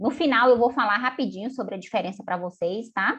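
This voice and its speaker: Lively intonation colors the somewhat breathy speech of a woman. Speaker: finance educator. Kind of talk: live online class. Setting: video call. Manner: animated.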